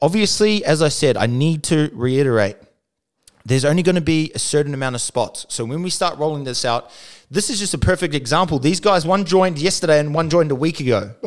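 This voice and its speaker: Talking at a very fast pace with an Australian accent, a man uses lively intonation against a quiet background. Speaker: podcast co-host. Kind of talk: casual chat. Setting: studio. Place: studio. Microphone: studio mic.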